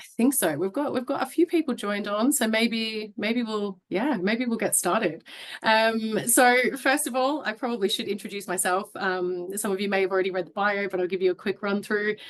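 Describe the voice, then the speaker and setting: A woman talks with an Australian accent at a moderate pace, with hardly any pauses. Her pitch is fairly high and varies in an ordinary way. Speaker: HR business partner, webinar host. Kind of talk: webinar hosting.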